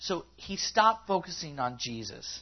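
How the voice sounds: A man's voice rises and falls in big pitch swings at a fairly high pitch.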